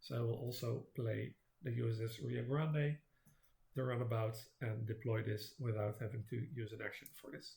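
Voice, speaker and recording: A man's dark, mellow, somewhat breathy voice moves at a moderate pace with fairly even intonation. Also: medium pitch for a man. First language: not English. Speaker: board game video creator. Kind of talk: gameplay commentary. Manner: halting, many fillers.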